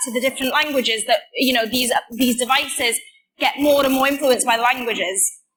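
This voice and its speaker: In a Welsh accent, a woman projects a raised voice at a high pitch. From Wales. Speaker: computer science student. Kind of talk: conference talk. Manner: casual, with many fillers.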